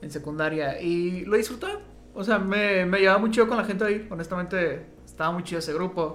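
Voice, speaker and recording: Over noticeable background noise and audible room echo, a man talks fairly quickly in a high pitch. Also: ordinary pitch variation. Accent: Mexican. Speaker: podcast co-host. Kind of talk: casual chat.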